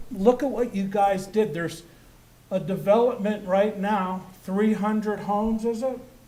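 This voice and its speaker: A man's high-pitched voice with an American accent, dark and mellow in tone, fairly even intonation and a fairly slow pace, amid audible room echo. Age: 70s. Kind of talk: public comment at council meeting. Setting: city council meeting.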